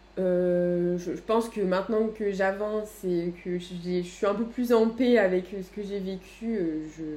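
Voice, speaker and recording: Over noticeable background noise, a woman talks very slowly at a medium pitch, with fairly even intonation and hardly any pauses. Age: 20s. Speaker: HR manager. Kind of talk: casual chat.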